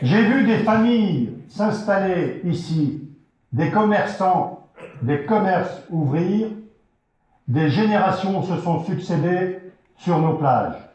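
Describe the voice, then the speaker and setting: With audible room echo, a high-pitched man speaks at a very slow pace, using ordinary pitch variation and very even loudness, and leaving long, frequent pauses. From France, Vendée. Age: 60s. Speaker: local election candidate. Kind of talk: campaign rally speech. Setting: hall with audience. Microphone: poor sound.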